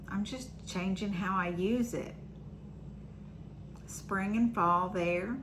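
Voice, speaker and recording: With audible room echo, a woman speaks at a medium pitch and a very slow pace, her intonation fairly even and broken by long, frequent pauses. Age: 60s. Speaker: vlogger. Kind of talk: personal vlog monologue. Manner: casual, with filler ums.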